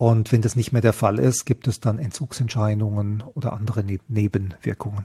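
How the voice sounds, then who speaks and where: In a dry, close recording with no echo, a man with a fairly low pitch and a dark, mellow tone speaks somewhat breathily at a moderate pace, with ordinary pitch variation and hardly any pauses. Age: 50s. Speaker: health scientist and psychedelic researcher. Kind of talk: interview.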